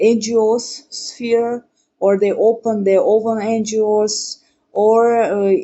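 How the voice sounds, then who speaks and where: Speaking with a non-native accent, a woman keeps a monotone, flat intonation. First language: not English. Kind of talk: podcast interview. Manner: halting.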